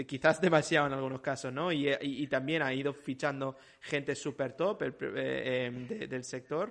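Over a quiet background, a man speaks at a fairly slow pace with hardly any pauses, his pitch fairly high with vocal fry and ordinary variation. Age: 40s. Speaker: video game industry professional. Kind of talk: casual chat.

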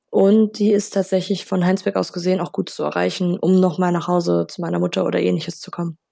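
A woman talking at a very fast pace with hardly any pauses. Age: 20s. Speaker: law student. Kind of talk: casual interview.

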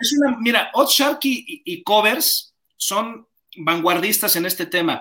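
A man's raised, projected voice in a Mexican accent, high-pitched with a bright, sharp tone, lively intonation and a fairly slow pace. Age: 40s. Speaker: sports commentator. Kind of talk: interview.

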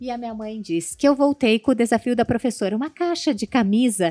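On a very clean recording with a silent background and a dry, close sound with no echo, a woman speaks fairly quickly in a high voice with a dark, mellow tone and lively intonation. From southern Brazil (Rio Grande do Sul), born in São Paulo state. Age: 40s. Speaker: fashion designer and cooking show contestant. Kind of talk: podcast interview.

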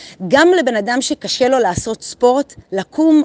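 A woman's high-pitched voice with lively intonation and an animated tone, dry and close with no echo. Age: 40s. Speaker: motivational group leader. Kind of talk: daily motivational monologue. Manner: casual, animated.

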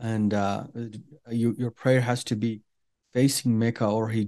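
The voice has an Iranian accent and a dark, mellow tone. Its intonation is monotone and flat over a quiet background. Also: man. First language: Farsi. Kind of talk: interview telling personal testimony. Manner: halting, many fillers.

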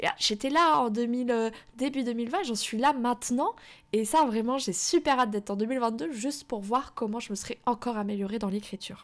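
Her voice is high-pitched, and the woman keeps a moderate pace. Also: ordinary pitch variation. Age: 20s. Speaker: podcast host and self-published novelist. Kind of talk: solo podcast monologue. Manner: casual, many hesitations.

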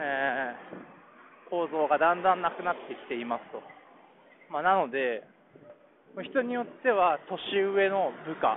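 Loudness swings widely as a man speaks at a high pitch and a fairly slow pace, with long, frequent pauses. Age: 30s. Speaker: podcast host, engineering manager. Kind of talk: solo casual monologue podcast. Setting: walking home, outdoors. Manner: halting, many fillers.

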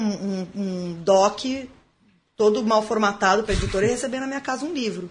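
Somewhat breathy, a woman speaks at a moderate pace with a fairly high pitch. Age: 30s. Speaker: writer. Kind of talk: casual chat.

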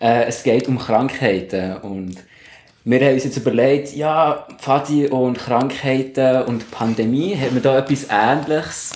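With audible room echo and noticeable background noise, a man speaks very slowly at a medium pitch, his pitch varying in an ordinary way. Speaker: scout leader. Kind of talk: casual chat.

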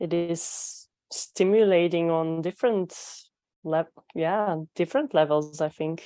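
A woman with a Belgian accent speaks at a fairly low pitch in a dark, mellow tone. Her pace is fairly slow, with ordinary pitch variation. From Belgium. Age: 20s. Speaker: physiotherapist, coaching client. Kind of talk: coaching conversation. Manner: halting, hesitant.

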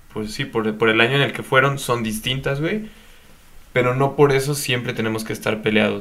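Amid audible room echo, a man with a bright, sharp tone and medium pitch talks at a fairly quick pace with ordinary pitch variation. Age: young. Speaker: podcast co-host. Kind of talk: casual chat.

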